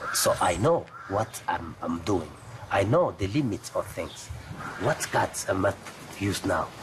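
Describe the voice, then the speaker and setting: A man speaks with a fairly low pitch that swings very widely, pausing long and often. Background noise is noticeable. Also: fairly slow pace. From DR Congo. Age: 50s. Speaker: journalism fixer. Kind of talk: documentary interview. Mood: calm, reflective. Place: garden. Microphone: lapel.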